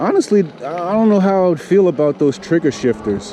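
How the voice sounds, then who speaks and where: Lively intonation from a man, set against clear background noise. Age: 50s. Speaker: e-bike reviewer. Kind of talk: casual ride-along commentary. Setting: outdoors on a bike trail. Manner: relaxed, conversational.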